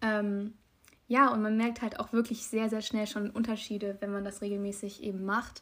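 A woman talks at a medium speed in a fairly high voice. She keeps her intonation monotone and flat. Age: young. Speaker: podcast co-host. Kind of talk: casual chat.

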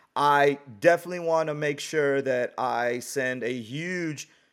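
A man with an American accent speaks in an unremarkable speaking voice, fairly high in pitch and fairly even in intonation. The recording is very clean, with a silent background. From US West Coast (San Francisco Bay Area). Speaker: podcast host. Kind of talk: casual chat.

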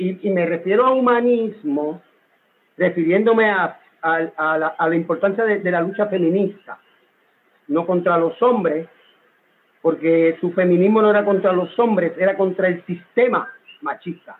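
A man with a high pitch speaks with long, frequent pauses. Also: ordinary pitch variation, moderate pace. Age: 50s. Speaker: son of a poet. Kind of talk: interview.

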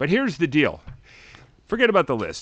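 Speaking with an American accent, a man uses vocal fry and very wide pitch swings. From Chicago. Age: 50s. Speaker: TV podcast co-host. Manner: joking, self-deprecating.

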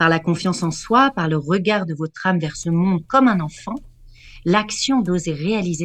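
Somewhat breathy and fairly low in pitch, a woman speaks at a fairly slow pace with lively intonation on a very clean recording with a silent background. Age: 40s. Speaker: vocal art therapist. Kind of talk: radio chronicle and advice; reading aloud.

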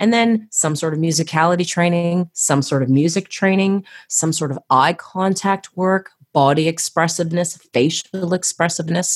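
A woman speaks at a moderate pace in a fairly low voice, her energetic, animated delivery holding a very even loudness with ordinary pitch variation, recorded with a dry, close sound and no echo. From Canada, Toronto. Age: 40s. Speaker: choreographer and artistry coach for gymnastics. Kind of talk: casual interview chat.

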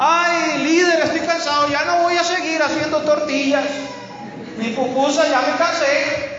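Extremely high-pitched male voice in an animated tone, at a fairly slow pace, against noticeable background noise. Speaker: preacher. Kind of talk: sermon. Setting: church. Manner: animated, exhortative, call-and-response with the congregation; fervent, pentecostal preaching style.

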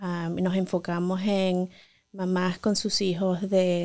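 The recording is very clean, with a silent background. A woman at a medium pitch speaks very slowly. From Venezuela. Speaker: pediatrician. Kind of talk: interview.

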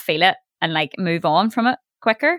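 Speaking with a Northern Irish accent, a woman uses a bright, sharp tone and lively intonation in a dry, close recording with no echo. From Northern Ireland. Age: 30s. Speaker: radio broadcaster and DJ. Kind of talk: casual chat.

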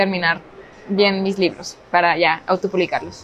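At a fairly quick pace, a woman talks in a normal speaking voice with a medium pitch. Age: 20s. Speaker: book video creator and writer. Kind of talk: casual chat. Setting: public place, shopping mall.

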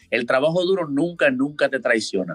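A man with a Dominican accent, lively intonation and a very fast pace, in a dry, close sound with no echo. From Dominican Republic, Santo Domingo. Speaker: college baseball player. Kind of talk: interview.

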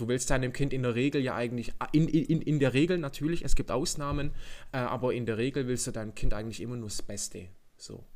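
The pace is very fast. A man speaks with ordinary pitch variation. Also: medium pitch for a man, big swings in loudness. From Germany. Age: 20s. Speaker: podcast host. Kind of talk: casual chat.

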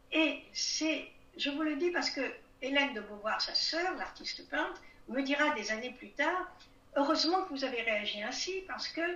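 A woman speaks at a moderate pace with a high pitch and lively intonation, with audible room echo and noticeable background noise. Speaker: writer, historian and retired diplomat. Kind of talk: interview.

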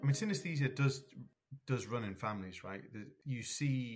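Speaking at a fairly quick pace, a man sounds somewhat breathy, with lively intonation. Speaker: scientist, synesthesia researcher. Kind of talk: expert explanation.

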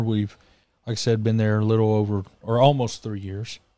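The man's tone is dark and mellow, heard on a very clean recording with a silent background. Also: dry, close sound with no echo. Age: 20s. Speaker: preacher. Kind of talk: casual chat.

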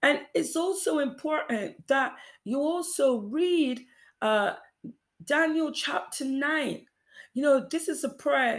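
A woman's high-pitched voice at a very slow pace, lively in intonation, broken by long, frequent pauses, on a very clean recording with a silent background. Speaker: preacher. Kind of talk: sermon; fervent prayer with repeated phrases, urgent exhortation. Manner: earnest, repetitive, exhortative.

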